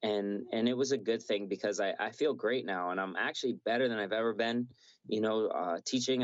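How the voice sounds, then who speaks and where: With a normal speaking voice, the speaker goes at a fairly quick pace with ordinary pitch variation. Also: man. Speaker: MMA fighter. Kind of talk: casual interview. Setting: video call.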